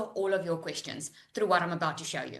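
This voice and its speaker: Her voice raised and projected, a woman speaks in an animated, bright and sharp tone. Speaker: online business coach. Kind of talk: live webinar sales pitch. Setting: live Zoom video call.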